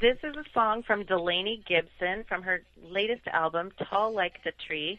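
In a normal speaking voice, a woman speaks at a medium pitch with fairly even intonation. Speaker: attorney. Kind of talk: casual chat.

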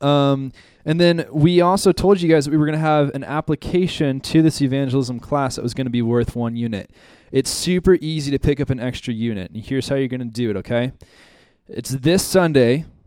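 An ordinary speaking voice from a man, fairly high in pitch, with ordinary pitch variation and a fairly quick pace. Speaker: ministry school staff member. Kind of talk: announcements and prayer. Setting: church classroom.

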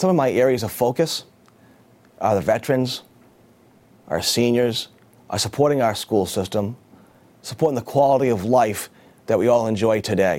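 A man with an American accent at a medium pitch and moderate pace, with ordinary pitch variation and long, frequent pauses. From Massachusetts, Beverly. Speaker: city council candidate. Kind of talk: campaign statement.

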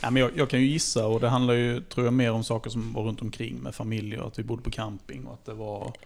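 Talking at a very fast pace with hardly any pauses, a man uses medium pitch and ordinary pitch variation. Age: 40s. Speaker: football club podcast co-host and technician. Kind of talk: casual chat.

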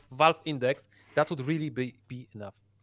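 With a Polish accent, a man speaks at a fairly quick pace and a fairly high pitch, showing ordinary pitch variation. The sound is dry and close, with no echo. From Poland. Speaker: VR gamer. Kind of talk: casual chat. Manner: halting.

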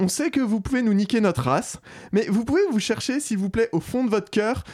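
A man speaks at a moderate pace. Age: 30s. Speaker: podcast host. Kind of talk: satirical news review.

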